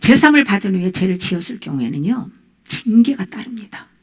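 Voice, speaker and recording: Somewhat breathy, a woman with a medium pitch speaks at a fairly quick pace, her voice making very wide pitch swings. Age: 60s. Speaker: pastor. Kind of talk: sermon.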